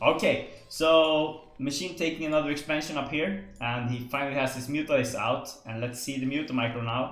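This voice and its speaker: With music in the background, a man with a Swedish accent and a fairly high pitch talks with fairly even intonation and hardly any pauses. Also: moderate pace. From Sweden. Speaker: esports caster. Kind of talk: live commentary. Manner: hesitant, many fillers.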